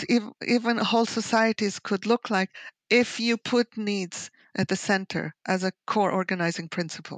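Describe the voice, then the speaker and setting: Against a quiet background, a woman with a fairly high pitch is heard in a dry, close sound with no echo. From Israel. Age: 60s. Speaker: author and sociologist. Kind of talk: interview.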